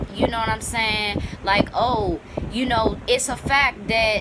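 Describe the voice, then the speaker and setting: The woman has an American accent and speaks at a fairly slow pace. Noticeable background noise can be heard. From Washington, D.C., US. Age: 20s. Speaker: YouTuber. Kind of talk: opinion vlog monologue. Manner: casual, conversational.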